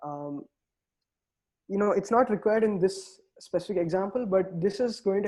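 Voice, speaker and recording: Ordinary pitch variation sits within a dark, mellow tone. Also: man. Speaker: quantum computing instructor. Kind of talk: online tutorial lecture. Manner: fast.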